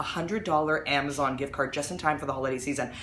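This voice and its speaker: Woman at a very fast pace with audible room echo and noticeable background noise. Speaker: mom blogger hosting a live video. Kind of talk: live stream product promotion. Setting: at home, live video. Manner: animated.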